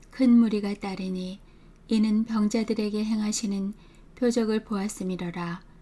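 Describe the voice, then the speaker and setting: In a dark, mellow, somewhat breathy tone, a woman talks fairly slowly at a fairly high pitch with monotone, flat intonation. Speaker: Bible reader. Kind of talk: scripture reading. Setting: home recording.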